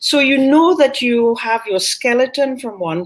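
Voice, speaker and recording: A woman with a Caribbean accent, at a fairly slow pace. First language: Caribbean Creole. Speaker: author and linguist. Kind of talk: book talk conversation.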